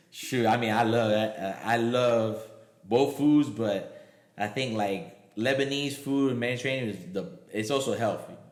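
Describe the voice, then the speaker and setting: Moderate pace with audible room echo. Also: man, medium pitch for a man, ordinary pitch variation. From Miami, Florida (Puerto Rican-Cuban family). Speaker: comedian and triathlete. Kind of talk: casual chat.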